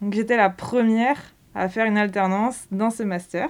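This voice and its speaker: On a very clean recording with a silent background, a woman speaks at a medium pitch. Her pace is moderate and her pitch variation ordinary. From Brittany, France (Quimper). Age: 20s. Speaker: sports retail manager, former work-study student. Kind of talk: interview testimony. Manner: hesitant, frequent fillers and repetitions.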